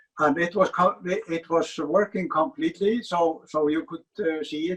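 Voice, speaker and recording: A man with an Icelandic accent, at a moderate pace with ordinary pitch variation. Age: 80s+. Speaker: furniture designer. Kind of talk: interview. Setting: museum basement. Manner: halting, many fillers and repetitions.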